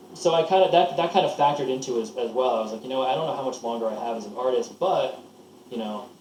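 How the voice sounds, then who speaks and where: A man with an American accent, medium in pitch, very fast and lively in intonation, with audible room echo and noticeable background noise. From US Northeast, Lancaster, Pennsylvania. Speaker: record producer. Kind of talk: casual interview. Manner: halting, many false starts.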